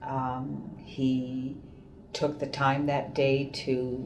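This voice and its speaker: A woman talks with a very deep, low pitch and a monotone, flat intonation. Noticeable background noise and audible room echo fill the recording. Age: 60s. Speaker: patient. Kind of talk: testimony.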